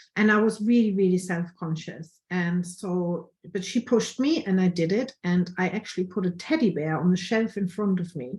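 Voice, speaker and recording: Her pitch sits at a medium level for a woman, with ordinary pitch variation. She speaks at a fairly quick pace in a somewhat breathy voice. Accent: strong German. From Germany. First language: German. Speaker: photographer. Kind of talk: online workshop presentation.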